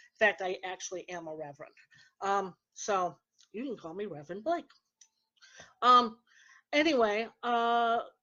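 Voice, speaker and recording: A woman's medium-pitched voice at a moderate pace, with lively intonation, big swings in loudness and long, frequent pauses. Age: 60s. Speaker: psychic medium and radio show host. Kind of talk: casual radio talk. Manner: hesitant, many fillers.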